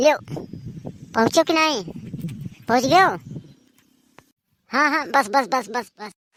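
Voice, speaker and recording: Putting on a cartoonish character voice, a woman speaks at a high pitch with lively intonation, big swings in loudness, and long, frequent pauses. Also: moderate pace. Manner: loud, bossy, scolding.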